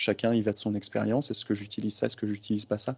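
A dark, mellow tone moves at a fairly quick pace with monotone, flat intonation. The sound is dry and close with no echo over a quiet background. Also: man. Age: 30s. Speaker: strength and conditioning coach. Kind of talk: casual interview.

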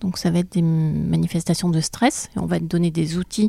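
A woman's dark, mellow voice moves at a moderate pace in a dry, close sound with no echo, on a very clean recording with a silent background. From France, childhood in Borneo. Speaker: psychiatrist. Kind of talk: interview explaining.

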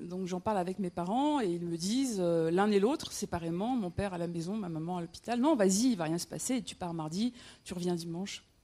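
A woman's dark, mellow, medium-pitched voice at a fairly quick pace, with ordinary pitch variation. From north-eastern France, Metz (Lorraine). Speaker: storyteller. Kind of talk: personal storytelling on stage. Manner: halting, with frequent repetitions and hesitations.

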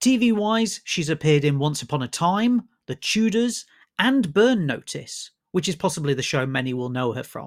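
A man with a British accent, very wide pitch swings, and a very clean recording against a silent background. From UK. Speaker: film critic, broadcaster and podcast host. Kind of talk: scripted intro then interview.

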